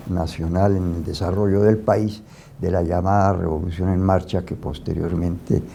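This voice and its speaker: The man's voice has a dark, mellow tone. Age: 80s+. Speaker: eyewitness and former political militant. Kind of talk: oral history interview. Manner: halting, with repetitions.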